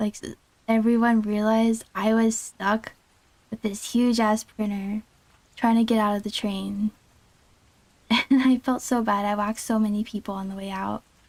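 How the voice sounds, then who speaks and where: A soft-spoken woman's fairly high voice, monotone and flat, at a moderate pace with long, frequent pauses. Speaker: VTuber streamer. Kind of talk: casual livestream chat, telling a personal story.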